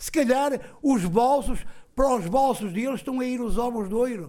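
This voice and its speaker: Animated in tone, a man speaks at an extremely high pitch with ordinary pitch variation. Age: 60s. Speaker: tenant facing eviction. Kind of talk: testimony. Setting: public meeting with audience.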